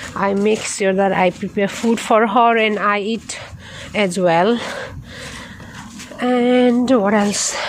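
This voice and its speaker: A woman talks very slowly at a medium pitch, with long, frequent pauses and fairly even intonation. Noticeable background noise runs beneath her. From Nepal. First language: Nepali. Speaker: nurse vlogger. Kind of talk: casual vlog while walking. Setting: outdoors. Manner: halting.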